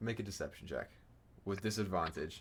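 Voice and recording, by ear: Using ordinary pitch variation, a man with a low voice speaks at a moderate pace.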